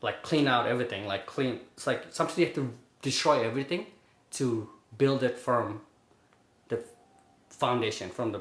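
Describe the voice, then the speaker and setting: Speaking at a moderate pace, a man with a medium-pitched, somewhat breathy voice uses ordinary pitch variation. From Bangladesh, moved to Brooklyn at 11. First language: Bengali. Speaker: finance worker. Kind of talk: interview. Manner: casual, filler-heavy.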